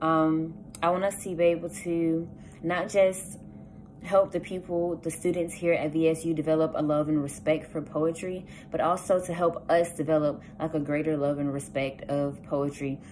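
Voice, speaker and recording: A woman with a Southern US accent speaks at a moderate pace in a fairly low pitch and fairly even intonation, with light background noise. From US South, south Georgia. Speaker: student. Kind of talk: campaign speech; campaign message, casual vlog chat. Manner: casual, with frequent filler words. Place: home room. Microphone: phone near.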